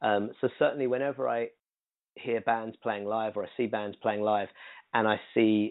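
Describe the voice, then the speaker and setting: The man's fairly low voice keeps a fairly even intonation. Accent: British. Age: 30s. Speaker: singer-songwriter and producer. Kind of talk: interview conversation.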